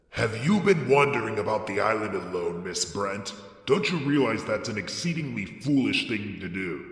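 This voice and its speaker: A man's gruff, put-on character voice at medium pitch, with lively intonation, a moderate pace and a clear echo. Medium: read story. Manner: short, gruff.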